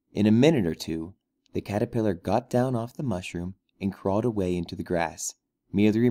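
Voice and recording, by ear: The speaker is reading aloud in a natural voice with ordinary pitch variation. Behind it the background is quiet.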